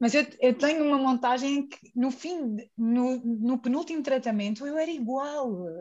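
Speaking fairly slowly with hardly any pauses, a woman with a high voice shows ordinary pitch variation and big swings in loudness. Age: 30s. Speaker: guest. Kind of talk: casual chat.

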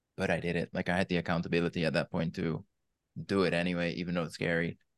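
Against a quiet background, a man with a Dutch accent speaks in a very deep, low voice with fairly even intonation. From Netherlands. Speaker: weight loss coach. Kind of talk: interview.

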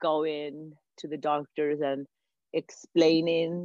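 This woman has a very deep, low pitch. She speaks with an American accent. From outside the US. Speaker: mother of chronically ill podcaster. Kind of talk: casual chat.

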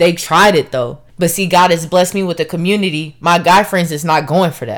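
In a very clean recording with a silent background, a woman with a fairly low pitch speaks in an animated tone. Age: 20s. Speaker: podcast host. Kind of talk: casual monologue.

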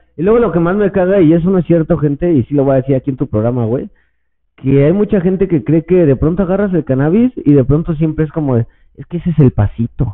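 At a very fast pace, a man speaks with lively intonation and a fairly high pitch. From Mexico, Estado de México. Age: 30s. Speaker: cannabis podcaster and influencer. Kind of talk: casual chat.

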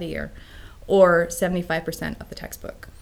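Monotone, flat speech in an American accent, with music in the background. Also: woman. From US West Coast. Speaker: homeschooling parent. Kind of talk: interview. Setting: studio.

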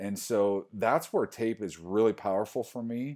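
Speaking with an American accent, a man's dark, mellow tone and fairly even intonation come through in a very clean recording with a silent background. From US Midwest (Iowa). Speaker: sports rehab coordinator. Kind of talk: casual interview.

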